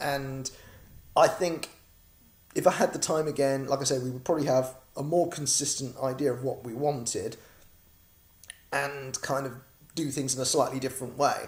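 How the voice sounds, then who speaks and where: A man with a British accent and a fairly high pitch speaks somewhat breathily at a moderate pace, keeping a fairly even intonation and pausing often and at length. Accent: British, noticeable. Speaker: comic creator and crowdfunding campaigner. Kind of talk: casual video vlog update. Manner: chatty, rambling with filler words.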